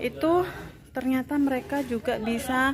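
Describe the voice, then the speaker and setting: Her pace very slow, a woman speaks at a high pitch with ordinary pitch variation. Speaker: midwife vlogger. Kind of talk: casual vlog chat. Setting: arts studio with gamelan group.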